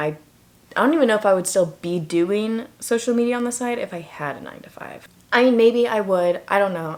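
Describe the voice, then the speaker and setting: Amid noticeable background noise, a woman talks at a fairly quick pace with lively intonation. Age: 20s. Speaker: YouTuber. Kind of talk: casual vlog talk to camera.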